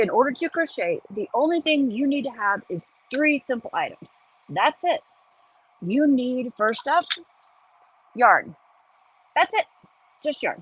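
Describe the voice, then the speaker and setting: A woman with an American accent speaks in a high voice with very wide pitch swings. Long, frequent pauses break up her words, and the sound is dry and close with no echo. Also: fairly slow pace. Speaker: crochet teacher. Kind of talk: tutorial. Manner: casual, chatty.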